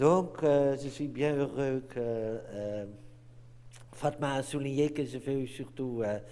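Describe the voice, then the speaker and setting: Speaking very slowly with a non-native accent and fairly even intonation, the voice comes through with audible room echo. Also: man, medium pitch for a man. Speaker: anthropology professor. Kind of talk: lecture. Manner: halting, many hesitations.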